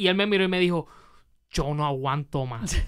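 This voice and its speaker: A man speaks at a fairly quick pace with a high pitch for a man. His tone is bright and sharp, over a quiet background. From Puerto Rico. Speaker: podcast host. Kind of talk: casual interview. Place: studio. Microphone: studio mic.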